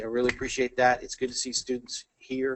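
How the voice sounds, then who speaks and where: A man with an American accent, medium pitch, and a fairly quick pace. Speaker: engineer and technical presenter. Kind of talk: technical talk Q&A and closing remarks. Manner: fast; halting, many fillers and repeats.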